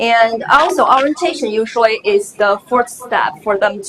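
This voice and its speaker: With a Chinese accent, a woman speaks at a fairly slow pace in a fairly high pitch over noticeable background noise. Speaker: graduate student presenter. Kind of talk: conference presentation. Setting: conference session.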